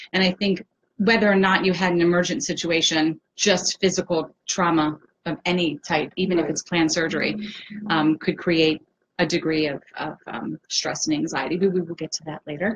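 A woman with a fairly low pitch sounds somewhat breathy. Light background noise is present. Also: ordinary pitch variation, moderate pace. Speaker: host of support group live Q&A. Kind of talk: hosted live-stream introduction. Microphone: webcam.

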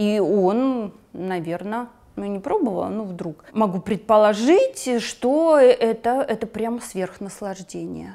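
At a very slow pace, a woman speaks at a medium pitch with a dark, mellow tone. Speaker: psychotherapist. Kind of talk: interview. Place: studio. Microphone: lapel.

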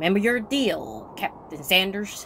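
A female-sounding put-on character voice at a medium pitch, over clear background noise. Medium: short film. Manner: cocky, curt.

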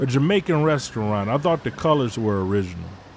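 Against noticeable background noise, a man with an American accent and medium pitch speaks at a moderate pace with lively intonation. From Detroit, US Midwest. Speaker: storyteller. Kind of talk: storytelling performance. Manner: measured, narrative.

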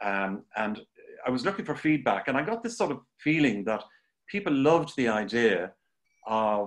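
A man talks with an Irish accent at a moderate pace. His intonation is lively against a quiet background. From Ireland. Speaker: art teacher and show host. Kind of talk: live-streamed interview. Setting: Facebook Live video stream. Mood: warm, enthusiastic. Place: home room. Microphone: video call.

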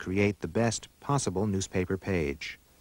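In a very clean recording with a silent background and a dry, close sound with no echo, a man with an ordinary speaking voice and fairly low pitch talks at a moderate pace. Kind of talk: 1980s corporate documentary narration. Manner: formal, measured, authoritative; even-paced, polished, newsreel-like delivery.

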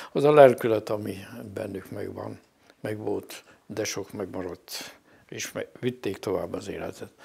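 A man is speaking. His pace is very slow. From Hungary, Kapuvár (Sopron county); Hungary. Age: 70s. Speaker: parish priest. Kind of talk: interview. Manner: halting. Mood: reflective, calm. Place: home room. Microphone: lapel.

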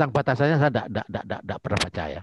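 A man speaks with a somewhat breathy voice. The sound is dry with no echo, over light background noise. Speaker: pediatric surgeon; medical lecturer. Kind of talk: lecture. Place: home room. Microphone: webcam.

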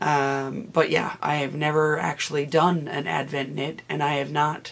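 At a fairly slow pace, a woman speaks in a low, raspy voice with vocal fry and little pitch movement.

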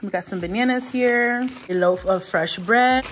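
There is noticeable background noise behind this woman. She speaks at a fairly slow pace. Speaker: mom vlogger. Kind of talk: casual vlog chat. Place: kitchen. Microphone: phone near.

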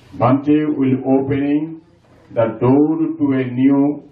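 In a room with audible echo, a man talks at a very slow pace. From Bangladesh. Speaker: community member. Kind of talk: formal speech. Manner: formal. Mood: respectful, ceremonial. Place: hall. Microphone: camera far.

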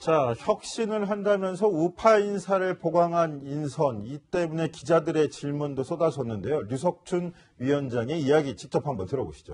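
A plain, everyday voice, a man's fairly high pitch with lively intonation, moderate pace and hardly any pauses. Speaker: news anchor. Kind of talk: news panel discussion. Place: studio. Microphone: lapel.

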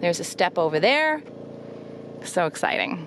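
Noticeable background noise surrounds a woman's fairly low voice, which sounds dry with no echo. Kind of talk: casual vlog chat. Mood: upbeat, excited. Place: open country. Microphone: phone near.

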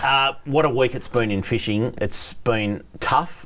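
A man's voice with ordinary pitch variation. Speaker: show host. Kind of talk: talk show banter. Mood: jovial, laughing. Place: studio. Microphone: lapel.

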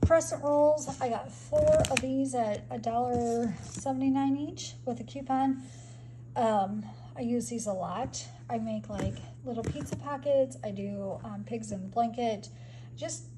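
At a very slow pace, the talking unfolds against noticeable background noise. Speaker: home vlogger. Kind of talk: casual vlog chat. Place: home room. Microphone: phone near.

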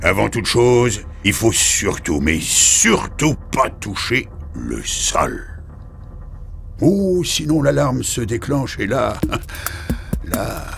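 The speaker uses a put-on character voice at a very slow pace. Long, frequent pauses break it up, and clear background noise is present. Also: man. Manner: sarcastic, weary, dry.

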